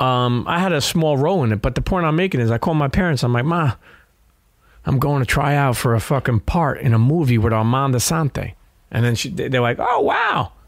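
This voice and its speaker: This man speaks at a fairly quick pace and medium pitch. His pitch varies in an ordinary way, and his loudness stays very even. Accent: New York. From New York, Brooklyn. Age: 40s. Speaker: podcaster and former sneaker seller. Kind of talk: casual chat. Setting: studio. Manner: halting.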